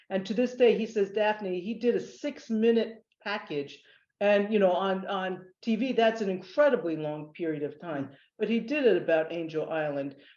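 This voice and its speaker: A woman with a General American accent has a dark, mellow tone and lively intonation. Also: medium pitch for a woman, moderate pace. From US East Coast (Northern Virginia). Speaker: nonprofit executive. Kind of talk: webinar panel interview. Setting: video webinar.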